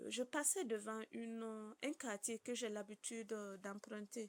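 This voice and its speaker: The sound is dry and close with no echo as a woman speaks in a fairly high pitch. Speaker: prayer group member. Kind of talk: testimony.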